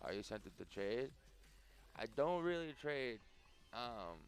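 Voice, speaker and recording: A soft-spoken man at a fairly slow pace, with music in the background. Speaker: gaming streamer. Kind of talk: live stream chat. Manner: quiet, soft-spoken. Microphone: mic can't go louder without feedback.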